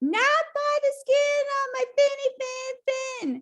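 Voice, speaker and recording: A woman speaks in a squeaky, put-on character voice pitched extremely high. She talks at a very slow pace. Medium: read story.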